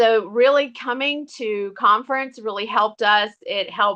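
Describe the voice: The pace is fairly slow and the tone bright and sharp. Intonation stays fairly even. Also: woman.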